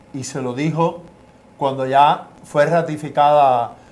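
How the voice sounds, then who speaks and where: Room echo is audible as a man speaks very slowly. His pitch is fairly high and his intonation fairly even. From Cuba. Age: 70s. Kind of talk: testimony.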